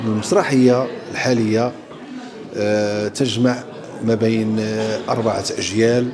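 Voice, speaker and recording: There is noticeable background noise as a man speaks with fairly even intonation. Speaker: theatre actor. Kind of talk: interview answer. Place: hall. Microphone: handheld.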